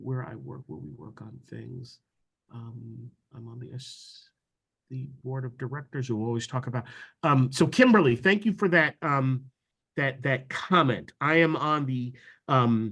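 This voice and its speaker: In a plain, everyday voice, a man with an American accent speaks at a fairly slow pace and medium pitch with ordinary pitch variation over a quiet background. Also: big swings in loudness. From New York. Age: 60s. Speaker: diversity officer. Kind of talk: training presentation. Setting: video call.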